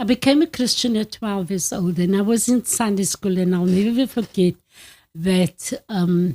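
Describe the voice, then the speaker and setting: A woman with a medium pitch and a dark, mellow, somewhat breathy tone speaks at a fairly slow pace with ordinary pitch variation, in a very clean recording with a silent background and a dry, close sound with no echo. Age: 70s. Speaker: retiree sharing life story. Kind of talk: interview. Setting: family home.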